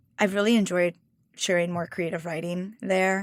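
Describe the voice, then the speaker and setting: This woman speaks in a medium pitch with monotone, flat intonation on a very clean recording with a silent background. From Mexico. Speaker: cookbook author and food stylist. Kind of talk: interview conversation.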